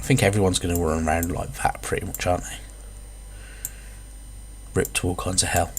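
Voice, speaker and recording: A man at a very fast pace, with long, frequent pauses. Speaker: gamer. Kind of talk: casual gameplay commentary.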